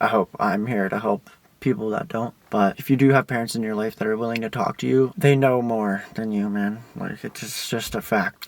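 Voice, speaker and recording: A man's medium-pitched voice at a moderate pace with ordinary pitch variation, amid noticeable background noise. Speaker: vlogger. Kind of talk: casual monologue. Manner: casual, filler-heavy.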